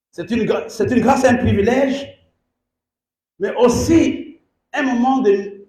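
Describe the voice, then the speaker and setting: A man's voice with audible room echo. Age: 60s. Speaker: bishop, pastor. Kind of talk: sermon. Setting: church service.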